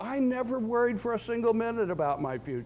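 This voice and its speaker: A man with an American accent speaks at a fairly quick pace. His pitch is high, and audible room echo surrounds him. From US South, Florida. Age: 60s. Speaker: professor. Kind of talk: lecture. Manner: animated.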